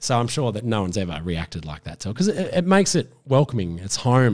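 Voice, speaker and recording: A man with an Australian accent at a medium pitch and fairly quick pace, on a very clean recording with a silent background. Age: 30s. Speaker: gardening expert and TV presenter. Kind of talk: casual chat.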